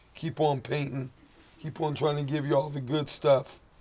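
Somewhat breathy, a man speaks at a moderate pace in a monotone with flat intonation. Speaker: street artist and musician vlogger; musician vlogger. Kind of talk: video diary. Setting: outdoors. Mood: earnest, heartfelt. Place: street. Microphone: phone near.

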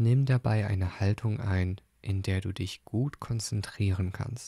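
Very slowly, a man speaks in a somewhat breathy voice with a dark, mellow, calm and soothing tone, recorded dry and close with no echo on a very clean recording with a silent background. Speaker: podcast host and meditation guide. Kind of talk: guided meditation. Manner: calm, slow, soothing; gentle, soft-spoken.

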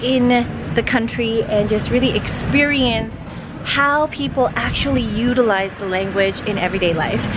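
Over noticeable background noise, a woman with a Canadian accent speaks at a moderate pace with ordinary pitch variation. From Canada. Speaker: YouTuber and TV host. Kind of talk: casual vlog talk to camera. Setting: outdoors walking in the city. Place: street. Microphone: phone near.

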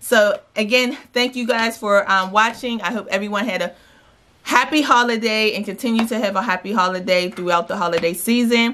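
A woman speaks at a fairly quick pace in a bright, sharp tone, her fairly high pitch showing ordinary variation. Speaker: lifestyle vlogger. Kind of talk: shopping haul vlog. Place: home room. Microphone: phone near.

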